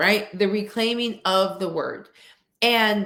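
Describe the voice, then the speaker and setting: Speaking at a fairly slow pace, a woman uses an ordinary speaking voice with ordinary pitch variation. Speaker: workshop speaker on coaching and equity. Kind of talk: interview-style webinar talk.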